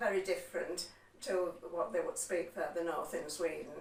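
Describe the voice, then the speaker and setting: A woman with a West Yorkshire accent speaks at a fairly low pitch, with audible room echo and noticeable background noise. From West Yorkshire, Huddersfield area. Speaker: interviewee on local heritage. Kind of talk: interview, personal recollection. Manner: hesitant, with fillers.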